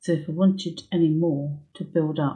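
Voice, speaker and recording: A woman speaks at a fairly low pitch with a dark, mellow tone. Her voice is somewhat breathy. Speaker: needle felting instructor. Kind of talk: tutorial. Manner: casual, hesitant with fillers; soft-spoken, whispering at times.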